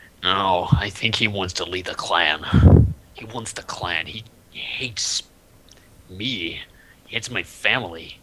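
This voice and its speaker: A man's raspy, very deep and low put-on character voice at a fairly slow pace. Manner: gruff, hostile.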